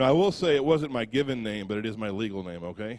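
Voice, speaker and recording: A man with an American accent, fairly low pitch, ordinary pitch variation and a very fast pace. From US Midwest, Ottumwa, Iowa. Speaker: prison ministry speaker. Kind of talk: testimony. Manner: halting.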